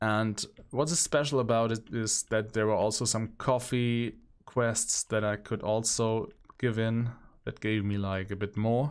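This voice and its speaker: This is a man with fairly even intonation. The recording is very clean, with a silent background. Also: medium pitch for a man, fairly slow pace. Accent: German. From central Germany. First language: German. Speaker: gaming streamer. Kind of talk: gameplay commentary. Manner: hesitant, with fillers.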